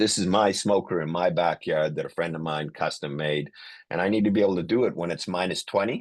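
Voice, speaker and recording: A man's very deep, low voice with ordinary pitch variation, over a quiet background. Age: 60s. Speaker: emergency physician and airway educator. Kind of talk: lecture. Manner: hesitant, many fillers.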